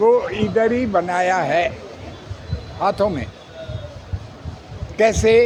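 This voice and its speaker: With audible room echo and noticeable background noise, a man speaks with long, frequent pauses. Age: 80s+. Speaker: acupressure therapist. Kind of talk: interview.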